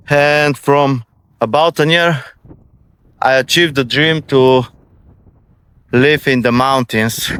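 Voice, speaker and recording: A man speaks very slowly with a non-native accent, leaving long, frequent pauses. His fairly high voice keeps fairly even intonation and very even loudness, with a dry, close sound and no echo. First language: Bulgarian. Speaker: vlogger. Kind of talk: casual vlog monologue. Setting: outdoors walking in countryside. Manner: halting.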